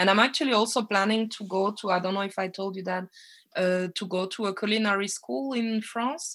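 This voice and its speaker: On a very clean recording with a silent background, a woman with a French accent talks fairly quickly at medium pitch, with ordinary pitch variation. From French-speaking Belgium (Namur area). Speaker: chef and cafe owner. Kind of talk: casual interview.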